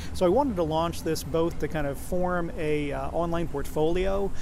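A man is heard over noticeable background noise. The room's echo is audible too. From Oklahoma, rural. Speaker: magazine editor. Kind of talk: casual interview.

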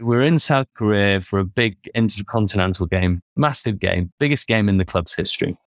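A man with a British accent talks at a fairly quick pace and a fairly low pitch, with ordinary pitch variation. The sound is dry and close with no echo, in a very clean recording with a silent background. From United Kingdom. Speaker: sports performance consultant. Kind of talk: interview.

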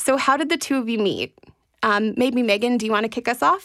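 At a fairly high pitch and with ordinary pitch variation, a woman speaks in an unremarkable speaking voice. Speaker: podcast host. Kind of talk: podcast interview.

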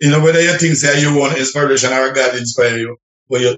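A man speaks with a Jamaican accent at a medium pitch. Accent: Jamaican patois-inflected English. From Jamaica, Clarendon. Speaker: reggae singer. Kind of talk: radio interview.

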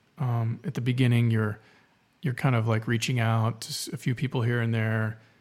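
A man with an American accent and a medium pitch talks at a moderate pace with fairly even intonation in a plain, everyday voice. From South Texas. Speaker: filmmaker. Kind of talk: interview.

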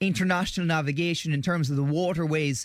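A man speaks at a high pitch with an Irish accent. The recording is very clean, with a silent background. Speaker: current affairs commentator. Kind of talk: radio interview. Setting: studio.

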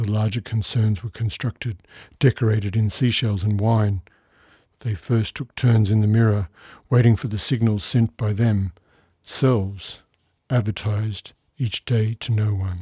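A man speaks with a fairly low pitch, a dark, mellow tone and a somewhat breathy quality. His intonation is fairly even, with long, frequent pauses, in a very clean recording with a silent background. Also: moderate pace, dry, close sound with no echo. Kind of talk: poetry reading of original poems, studio recording. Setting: studio.

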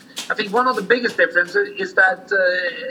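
A man speaks at a moderate pace in a raised, projected voice with ordinary pitch variation. Noticeable background noise is present. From Norway. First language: Norwegian. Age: 40s. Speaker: sled dog musher. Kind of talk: interview. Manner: halting.

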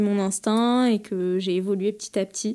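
A woman speaks in a monotone with flat intonation and a dark, mellow tone, on a very clean recording with a silent background. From France, Paris. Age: 30s. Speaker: bridal fashion designer. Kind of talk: interview. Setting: designer's showroom. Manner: hesitant, many fillers.

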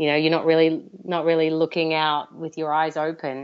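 A woman with an Australian accent talks at a moderate pace in a very deep, low pitch with monotone, flat intonation. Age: 30s. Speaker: fiber artist. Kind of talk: interview.

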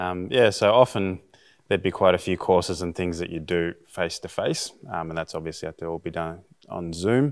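A man speaks at a fairly quick pace with a very deep, low pitch and an Australian accent. The recording is very clean, with a silent background. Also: ordinary pitch variation. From Australia (Bega, NSW). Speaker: high school teacher, missionary candidate. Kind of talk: interview.

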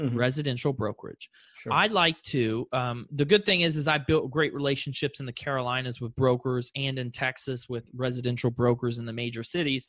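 With an American accent, a man speaks fairly quickly at a medium pitch in a bright, sharp tone, the sound dry and close with no echo over a quiet background. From South Florida, Fort Lauderdale. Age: young. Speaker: real estate investor. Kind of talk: interview.

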